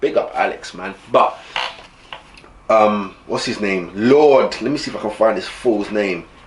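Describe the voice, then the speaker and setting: Noticeable background noise behind a man's fairly slow delivery. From East London. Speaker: football fan vlogger. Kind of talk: casual vlog book review. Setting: home camera recording. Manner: animated.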